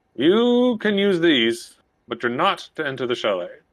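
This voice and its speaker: A man puts on a character voice, pitched high and swinging very widely up and down. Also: moderate pace. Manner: stern.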